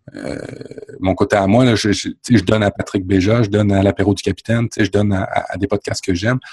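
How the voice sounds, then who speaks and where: A man with a Quebec accent, fairly low in pitch, very fast, with fairly even intonation. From France. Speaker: podcaster. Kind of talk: casual chat.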